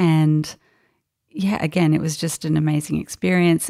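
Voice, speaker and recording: A woman speaks quietly in an Australian accent with a very deep, low pitch. The recording is very clean with a silent background and a dry, close sound with no echo. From Brisbane, Australia. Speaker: fashion illustrator. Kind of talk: casual interview. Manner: quiet, introverted.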